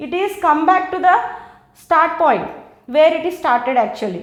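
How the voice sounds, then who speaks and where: A woman's extremely high voice with an Indian accent and audible room echo. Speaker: biology teacher. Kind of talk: lecture.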